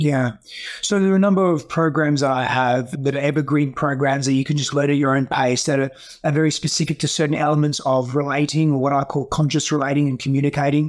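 Talking at a very fast pace, a man with an Australian accent has a fairly high pitch, fairly even intonation and very even loudness. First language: Greek. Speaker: breathwork and healing coach.

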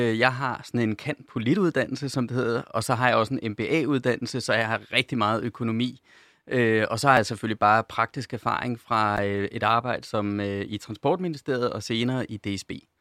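A man with an unremarkable speaking voice talks at a moderate pace, pitched in the medium range with ordinary pitch variation. The recording is very clean, with a silent background. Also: dry, close sound with no echo. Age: 40s. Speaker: corporate sustainability manager. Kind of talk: radio panel discussion. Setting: studio.

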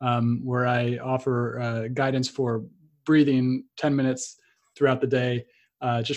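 A man talks in a monotone, flat way at a medium pitch and a moderate pace. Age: 30s. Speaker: podcast host. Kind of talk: interview. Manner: halting.

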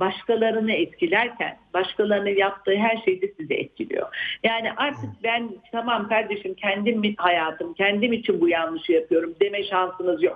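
A woman speaks at a moderate pace with a fairly high pitch and lively intonation. Hers is an unremarkable speaking voice. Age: 60s. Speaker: psychiatrist. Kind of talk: interview.

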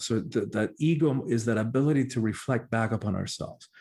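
Recorded very cleanly against a silent background, a man speaks in a Spanish accent at a medium pitch and moderate pace, with ordinary pitch variation. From Cuba. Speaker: spiritual teacher and life coach. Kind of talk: interview conversation.

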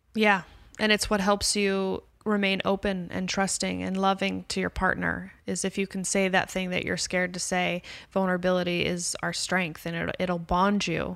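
A woman with an American accent speaks at a moderate pace in a flat, monotone way, recorded very cleanly against a silent background. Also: medium pitch for a woman. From US West Coast, Los Angeles (Calabasas). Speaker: author and comedian. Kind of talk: casual chat.

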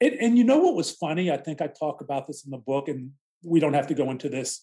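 This man has an American accent and a dark, mellow tone. His pitch is fairly high and his intonation lively. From Pittsburgh area, Pennsylvania. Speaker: author and non-practicing lawyer. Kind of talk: interview testimony.

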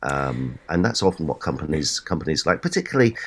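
A man talks at a very fast pace with lively intonation. His voice is very deep and low, with vocal fry. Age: 60s. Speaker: serial entrepreneur and business advisor. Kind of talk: interview. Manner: halting, frequent repeated words.

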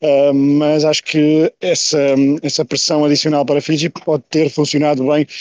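Recorded with a dry, close sound and no echo, a man speaks at a moderate pace. His fairly high voice stays monotone and flat. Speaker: sports correspondent. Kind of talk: casual chat. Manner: halting.

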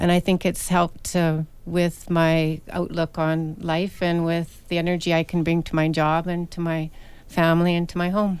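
At a moderate pace, a woman speaks in a monotone, flat delivery with a fairly low pitch. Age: 50s. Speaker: kindergarten teacher. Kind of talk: radio interview.

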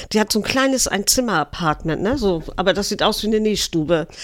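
The speaker has a northern German accent. The pace is moderate. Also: woman. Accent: Low German tinge. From Eckernförde, Schleswig-Holstein. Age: 60s. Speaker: city tour guide. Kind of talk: casual interview.

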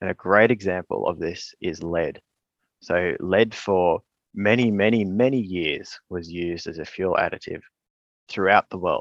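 A man with an Australian accent speaks at a very deep, low pitch and a fairly slow pace. The sound is dry and close with no echo, over a quiet background. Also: ordinary pitch variation. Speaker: environmental scientist and author. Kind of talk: interview. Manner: hesitant with fillers.

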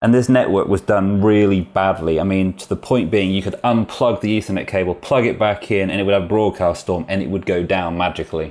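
Speaking at a fairly quick pace with hardly any pauses, the voice has a British accent and fairly even intonation. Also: man, fairly low pitch for a man, very clean recording, silent background. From UK, rural village. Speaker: security company manager. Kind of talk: interview.

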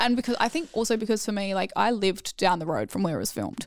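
Speaking at a fairly quick pace with an Australian accent, a woman is heard on a very clean recording with a silent background. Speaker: former reality TV contestant. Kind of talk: casual chat.

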